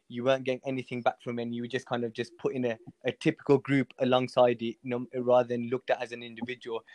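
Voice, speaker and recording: Against a quiet background, a man with a Birmingham accent talks at a very fast pace in dry, close sound with no echo. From Birmingham, England (Hall Green). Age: 20s. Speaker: amateur footballer. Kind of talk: casual chat.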